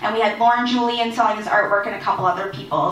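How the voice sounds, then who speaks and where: A woman rushes along at a very fast pace, with audible room echo and noticeable background noise. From Nova Scotia, Mi'kmaq community (Enfield). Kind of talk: conference presentation. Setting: community hall with audience. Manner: hesitant fillers, unscripted.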